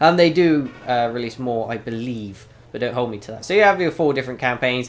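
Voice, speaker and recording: A man with a British accent and lively intonation. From United Kingdom. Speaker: gaming YouTuber. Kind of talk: game review commentary. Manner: casual with many fillers.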